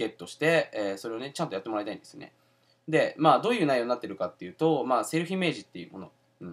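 Very fast speech with vocal fry, big swings in loudness and very wide pitch swings plays over a quiet background. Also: man. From Japan. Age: 20s. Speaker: entrepreneur and self-help video host; self-help video host. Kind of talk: casual video monologue. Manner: casual with many fillers. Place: home room. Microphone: webcam.

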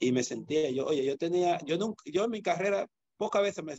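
Speaking in a Dominican accent at a fairly quick pace, the voice has lively intonation, set against a quiet background with a dry sound and no echo. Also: man. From Dominican Republic, San Cristóbal; Dominican Republic. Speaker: judo coach. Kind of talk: interview. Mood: reflective, earnest. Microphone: video call.

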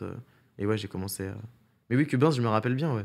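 The background stays quiet. A man's voice is heard. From Paris region, France; France. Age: 20s. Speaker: streamer and content creator; streamer, content creator. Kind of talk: casual interview. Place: studio. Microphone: studio mic.

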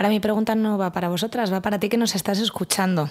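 A woman at a very fast pace, quiet background. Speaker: podcast host. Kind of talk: casual chat. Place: studio. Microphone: studio mic.

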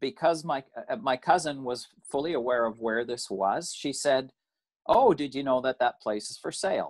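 This man has a Canadian accent and a medium pitch with ordinary variation. He talks at a fairly slow pace against a quiet background. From Canada. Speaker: recent emigrant. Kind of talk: interview. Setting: video call. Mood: calm storytelling. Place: home room. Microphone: video call.

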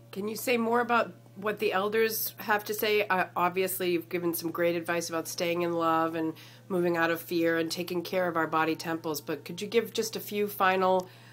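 At a fairly quick pace, a woman speaks with fairly low pitch, ordinary pitch variation and an ordinary speaking voice. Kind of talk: casual video interview host.

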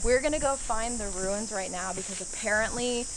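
The talking races at a very fast pace with noticeable background noise behind it. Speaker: vlogger. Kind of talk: casual vlog chat. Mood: playful, slightly spooked. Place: open country. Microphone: phone near.

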